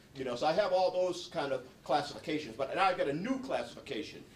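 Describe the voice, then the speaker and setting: Over audible room echo, a man speaks in a high pitch with very wide pitch swings. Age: 60s. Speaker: psychologist and former prisoner. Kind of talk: talk to an audience. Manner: halting, many repeated words.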